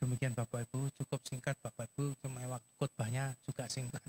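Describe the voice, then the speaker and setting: A soft-spoken man talks at a medium pitch and a moderate pace in a monotone, flat intonation. The sound is dry and close with no echo. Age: 70s. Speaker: guest preacher. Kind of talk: sermon. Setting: church with PA system.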